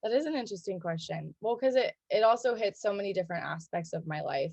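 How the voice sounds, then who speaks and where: With an American accent, the speaker talks at a very fast pace with lively intonation against a quiet background. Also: woman, medium pitch for a woman. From US Pacific Northwest, Seattle. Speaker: gym member, brewery worker. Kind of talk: interview. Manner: casual, many fillers.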